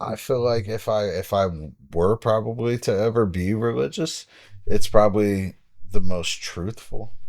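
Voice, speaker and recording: On a very clean recording with a silent background, a man with a plain, everyday voice speaks fairly low and fairly slowly, with ordinary pitch variation. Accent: American. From Dayton, Ohio, US. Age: 40s. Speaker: boxing coach. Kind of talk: casual chat.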